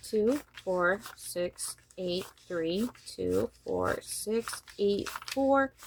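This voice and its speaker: The delivery is very slow. Noticeable noise sits in the background. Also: woman. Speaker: budgeting vlogger. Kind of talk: casual tutorial vlog.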